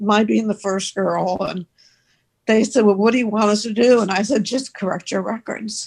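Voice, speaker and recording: A woman speaks in a somewhat breathy voice at a fairly high pitch. Her pace is moderate and her intonation fairly even. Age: 80s. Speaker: former Little League baseball player. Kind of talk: interview.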